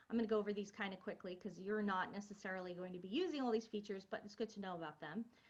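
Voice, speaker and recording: A somewhat breathy voice at a very fast pace, with fairly even intonation and hardly any pauses. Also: woman, medium pitch for a woman. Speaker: college instructor. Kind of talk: lecture.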